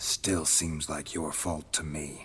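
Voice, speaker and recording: A man growls in a put-on character voice at a very deep, low pitch, with clear background noise behind him. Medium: video game. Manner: flat, laconic, low.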